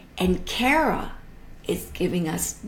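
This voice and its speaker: A woman speaks in a somewhat breathy voice. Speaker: art educator hosting a live stream. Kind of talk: casual live-stream talk about art. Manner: halting, with many ums; enthusiastic.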